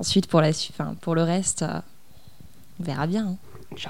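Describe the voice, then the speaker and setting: A woman is talking. She keeps up a fairly quick pace. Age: 20s. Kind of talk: casual interview. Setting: at her home, mid-move.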